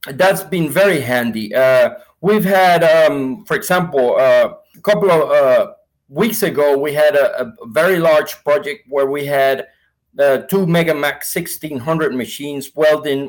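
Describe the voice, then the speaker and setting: In a Spanish accent, a man speaks at a fairly slow pace with a fairly high pitch and ordinary pitch variation. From Venezuela. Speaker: sales manager. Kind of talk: interview.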